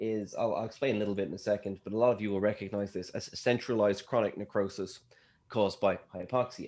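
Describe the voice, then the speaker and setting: A man with an Irish accent speaks fairly quickly at a medium pitch, with ordinary pitch variation. The background is quiet. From Ireland. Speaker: scientist. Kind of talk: lecture. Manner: fast.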